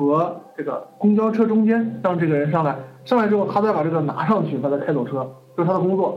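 A man talks at a fairly quick pace with lively intonation, with noticeable background noise and audible room echo around him. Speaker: online course teacher. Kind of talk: lecture. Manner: casual, lots of fillers.

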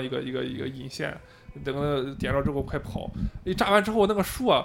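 A man talks with lively intonation. His is an unremarkable speaking voice. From Shandong, southern mountain area. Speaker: podcast co-host. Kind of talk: casual chat. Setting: karaoke room.

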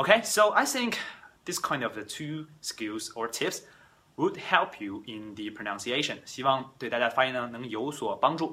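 Lively intonation in a Chinese accent at a fairly slow pace, with a bright, sharp tone and big swings in loudness. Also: man, medium pitch for a man. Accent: Chinese-accented English, Mandarin speaker. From China. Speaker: English teacher and podcast host. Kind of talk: bilingual language tutorial. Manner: frequent code-switching between Mandarin and English.

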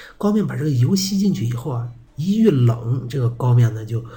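Talking fairly quickly, a man lets his pitch swing very widely while noticeable noise sounds behind him. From Shanxi, Yuci (Jinzhong). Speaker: podcast host. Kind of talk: casual monologue. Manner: weak, low-energy.

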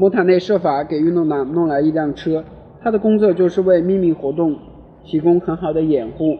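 This man's voice is high in pitch, with ordinary variation in its melody. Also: moderate pace. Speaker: amateur audiobook reader. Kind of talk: reading aloud. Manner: halting, frequent self-corrections.

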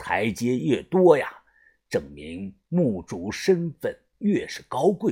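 Slowly and in a put-on character voice, a man speaks with a dark, mellow tone, a slightly husky edge and big pitch swings. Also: medium pitch for a man.

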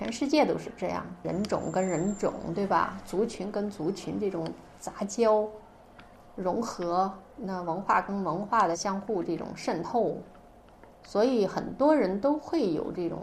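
A woman with a Xinjiang accent speaks at a fairly slow pace in a medium pitch with ordinary pitch variation, and audible room echo fills the space. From northern Xinjiang, China. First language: Uyghur (speaking Chinese). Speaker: writer. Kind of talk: interview. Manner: hesitant, many fillers.

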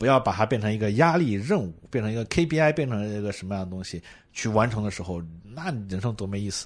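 Very fast, animated speech with lively intonation on a very clean recording with a silent background. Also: man, fairly low pitch for a man. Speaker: marketing executive guest. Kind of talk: casual chat. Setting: airport.

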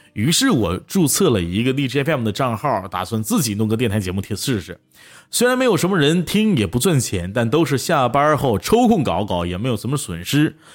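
A man with a Northeastern Chinese accent, medium in pitch, at a fairly quick pace with very wide pitch swings, in a very clean recording with a silent background. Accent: Northeastern Mandarin. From Northeast China, Tieling. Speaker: online audio streamer. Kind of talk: personal storytelling. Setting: livestream.

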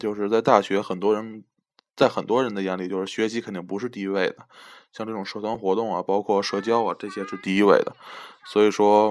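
Monotone and flat in intonation, a man speaks at a fairly quick pace with a fairly low pitch. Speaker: podcast host, college student. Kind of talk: casual chat.

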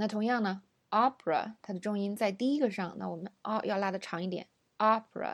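On a very clean recording with a silent background, a woman talks very fast at a medium pitch with ordinary pitch variation. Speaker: English pronunciation teacher. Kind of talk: lesson.

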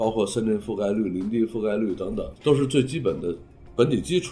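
This is a normal speaking voice from a man at a medium pitch. His intonation is lively. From northern China. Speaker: urban planning professor. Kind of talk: interview.

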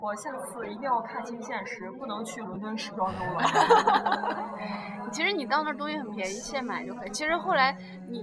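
A woman with a fairly high pitch speaks with lively intonation over noticeable background noise and audible room echo. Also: moderate pace. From Northeast China. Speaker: podcast host. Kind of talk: casual chat. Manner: animated.

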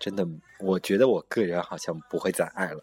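Here a man talks at a fairly low pitch. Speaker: podcast host. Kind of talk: casual chat. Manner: animated.

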